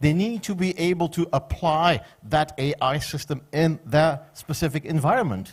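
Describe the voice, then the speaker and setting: A man with a Flemish accent and a fairly high pitch is heard on a very clean recording with a silent background. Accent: Flemish Belgian Dutch accent in English. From Belgium, Flanders (Ghent). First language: Dutch. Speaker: conference speaker on public administration. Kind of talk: conference presentation.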